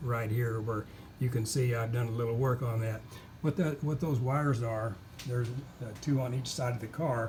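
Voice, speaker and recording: Audible room echo surrounds a man with a somewhat breathy voice of medium pitch. He keeps a moderate pace and fairly even intonation. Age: 70s. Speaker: car owner selling his car. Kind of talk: walkaround video tutorial. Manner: halting, many fillers.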